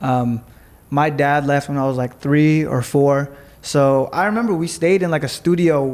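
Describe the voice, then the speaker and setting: With a Los Angeles accent, a man speaks in a fairly high pitch with ordinary pitch variation. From Los Angeles, US West Coast. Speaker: entrepreneur. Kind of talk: casual interview chat. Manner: fast-paced.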